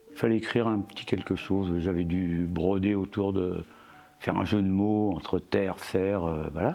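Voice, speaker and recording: With noticeable background noise behind him, a man speaks at a moderate pace in a very deep, low voice, with fairly even intonation and very even loudness. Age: 70s. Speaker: ceramic artist. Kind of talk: interview. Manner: halting, many hesitations.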